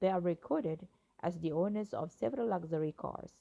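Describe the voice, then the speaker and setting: At a moderate pace, a woman speaks in a fairly low pitch with a dark, mellow tone. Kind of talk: news article reading.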